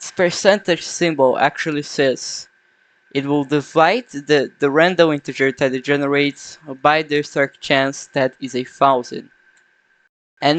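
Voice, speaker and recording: Speaking at a fairly slow pace, a man with a non-native accent has a fairly high pitch and ordinary pitch variation. The sound is dry and close, with no echo. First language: not English. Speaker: game developer vlogger. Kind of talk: unscripted coding vlog. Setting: at home at night. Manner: halting, self-correcting.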